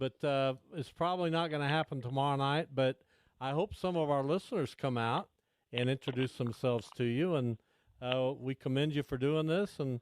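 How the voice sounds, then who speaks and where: Heard in a dry, close sound with no echo on a very clean recording with a silent background, a man with a normal speaking voice speaks at a moderate pace and fairly high pitch, his loudness very even and his pitch variation ordinary. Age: 60s. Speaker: radio host. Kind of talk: casual chat.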